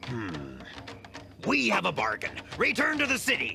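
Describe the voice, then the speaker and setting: A man does a cartoonish character voice over clear background noise. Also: moderate pace. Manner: menacing.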